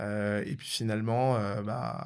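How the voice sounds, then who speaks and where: Recorded very cleanly against a silent background, a man speaks with a fairly low pitch. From Paris region, Val-de-Marne. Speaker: entrepreneur. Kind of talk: interview. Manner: hesitant, many fillers.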